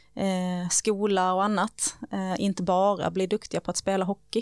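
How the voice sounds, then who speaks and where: Her pace is fairly slow, her intonation monotone and flat. The woman speaks at a medium pitch. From Sweden, Skåne (Höganäs). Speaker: sustainability manager at a sports club. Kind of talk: casual interview.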